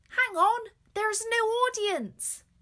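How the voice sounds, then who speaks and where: Bubbly and squeaky, a woman puts on a character voice at an extremely high pitch. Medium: read story. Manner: giggly, bubbly.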